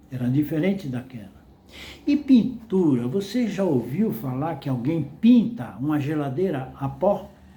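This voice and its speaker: Audible room echo surrounds a man who speaks fairly slowly in a fairly high voice with very wide pitch swings. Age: 80s+. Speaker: retired salesman and vlogger. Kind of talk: casual monologue.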